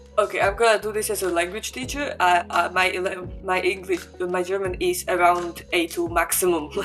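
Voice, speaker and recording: Speaking at a moderate pace with hardly any pauses, a woman with a Slovak accent is heard over noticeable background noise. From Slovakia. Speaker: international student. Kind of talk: interview. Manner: halting.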